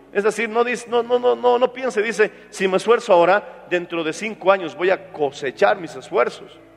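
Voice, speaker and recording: A man's high voice with lively intonation at a moderate pace, over noticeable background noise. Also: hardly any pauses. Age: 40s. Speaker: pastor. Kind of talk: sermon.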